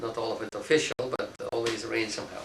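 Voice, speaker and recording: A man is heard in a room with audible echo and noticeable background noise. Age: 60s. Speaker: philosophy professor. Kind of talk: interview. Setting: office. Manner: halting, many fillers.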